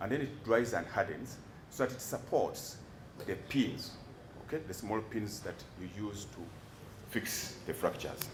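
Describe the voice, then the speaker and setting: Noticeable background noise and audible room echo surround a man of medium pitch who uses ordinary pitch variation, big swings in loudness, and long, frequent pauses. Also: moderate pace. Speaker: doctor testifying as defence witness. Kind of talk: court testimony. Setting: courtroom. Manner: halting, repeats words.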